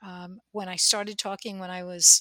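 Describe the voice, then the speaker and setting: A bright, sharp woman's voice at medium pitch with an American accent, fairly even intonation, a fairly slow pace and a dry, close sound with no echo. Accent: slight New Jersey accent, usually suppressed. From New Jersey. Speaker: podcast co-host. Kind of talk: casual chat.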